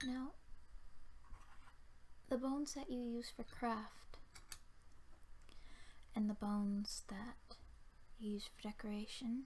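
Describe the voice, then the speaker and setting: The voice is soft-spoken. It moves at a very slow pace with long, frequent pauses. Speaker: ASMR creator. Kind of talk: ASMR talk to camera.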